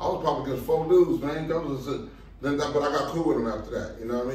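A man with a fairly high pitch and an American accent is heard with audible room echo and noticeable background noise. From Los Angeles area, California. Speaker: street dancer. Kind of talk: casual chat.

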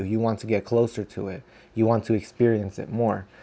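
A man uses a plain, everyday voice and keeps to a moderate pace. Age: 20s. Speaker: podcaster. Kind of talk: solo monologue. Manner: rambling, stream of consciousness.

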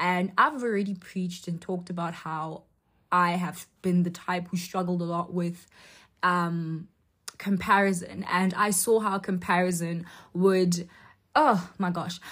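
With an unremarkable speaking voice, a woman talks at a fairly slow pace with fairly low pitch and fairly even intonation on a very clean recording with a silent background. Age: young (about 19). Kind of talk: faith talk monologue. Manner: casual, filler-heavy speech.

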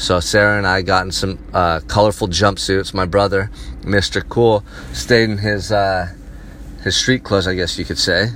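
An animated, fairly low male voice at a moderate pace with ordinary pitch variation and noticeable background noise. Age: 30s. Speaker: vlogger. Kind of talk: personal monologue. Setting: in a car.

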